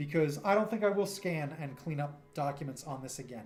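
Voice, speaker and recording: Faint music plays behind a man who speaks at a moderate pace in an American accent. His pitch is fairly high, with ordinary variation. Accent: New York accent, comes out a lot. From New York. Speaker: streamer and cartoonist; streamer. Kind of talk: casual livestream chat. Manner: animated.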